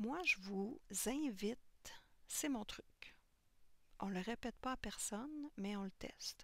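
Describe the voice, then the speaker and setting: Soft-spoken and lively in intonation, the speaker goes at a very slow pace with long, frequent pauses. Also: woman, fairly high pitch for a woman. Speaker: colouring tutorial youtuber. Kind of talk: tutorial.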